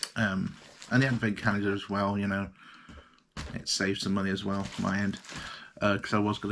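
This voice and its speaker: At a very fast pace, a man talks with a fairly low pitch. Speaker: vlogger. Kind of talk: casual vlog. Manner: hesitant, many fillers.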